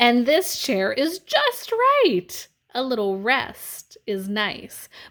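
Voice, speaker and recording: A woman's put-on character voice, high-pitched and at a very slow pace. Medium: read story. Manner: fussy.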